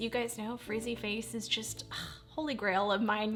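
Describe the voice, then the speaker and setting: Music behind a woman speaking at a fairly high pitch. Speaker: beauty vlogger. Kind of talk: voice-over beauty tutorial. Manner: fast; animated.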